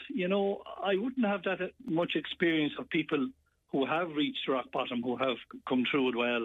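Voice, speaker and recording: A man with an Irish accent at a moderate pace, fairly high in pitch, with very wide pitch swings. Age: 70s. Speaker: caller, parent. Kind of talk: personal testimony. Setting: phone call.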